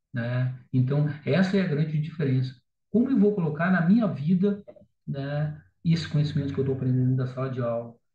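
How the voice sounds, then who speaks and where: A man's fairly high voice has a dark, mellow, somewhat breathy tone and ordinary pitch variation. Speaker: teacher. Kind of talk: lecture. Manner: fast.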